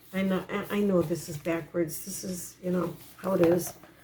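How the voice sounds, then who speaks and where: Using a put-on character voice, a woman talks at a moderate pace with a raspy, hoarse sound, fairly low pitch and monotone, flat intonation. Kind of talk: reading aloud from a text.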